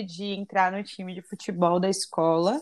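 The recording is very clean, with a silent background. A woman talks at a moderate pace in a monotone, flat intonation. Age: 20s. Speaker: civil engineer, cancer survivor. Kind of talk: personal testimony in interview.

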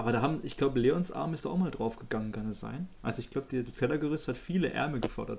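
A man speaks at a very fast pace, with hardly any pauses. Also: medium pitch for a man, ordinary pitch variation. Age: 20s. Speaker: podcast host. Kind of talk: casual chat.

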